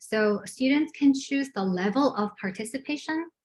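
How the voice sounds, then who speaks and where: Speaking at a fairly slow pace, a woman sounds somewhat breathy, with ordinary pitch variation. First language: not English. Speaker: adult education math instructor presenting. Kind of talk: online presentation. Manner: halting, many fillers.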